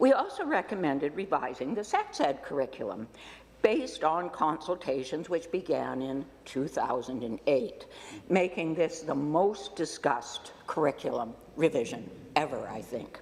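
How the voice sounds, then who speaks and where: With noticeable background noise around her, a woman speaks in a Canadian accent. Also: moderate pace. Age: 70s. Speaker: politician. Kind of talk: farewell speech in parliament. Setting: legislature chamber.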